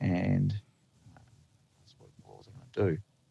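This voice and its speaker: This man's voice has a dark, mellow tone and is somewhat breathy, recorded with a dry, close sound and no echo. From New Zealand, from age nine; born in the Netherlands. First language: Dutch. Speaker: lineman. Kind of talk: podcast interview. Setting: video call. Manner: hesitant, many fillers and restarts.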